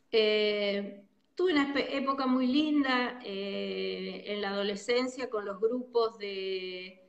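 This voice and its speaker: With ordinary pitch variation, a woman speaks very slowly at a fairly high pitch. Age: 60s. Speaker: psychologist. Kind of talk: interview.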